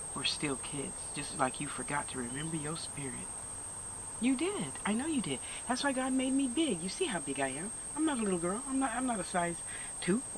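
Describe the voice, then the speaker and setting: Over noticeable background noise, a woman talks at a fairly quick pace with very wide pitch swings. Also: medium pitch for a woman. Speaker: spiritual healer. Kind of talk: casual monologue. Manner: loud; animated.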